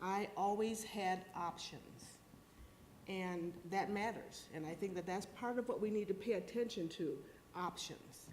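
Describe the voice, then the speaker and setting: Speaking at a fairly slow pace with fairly even intonation, a woman with a medium pitch is heard in audible room echo. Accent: American. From US Midwest. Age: 60s. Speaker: former clinic counselor, panelist. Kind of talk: panel talk.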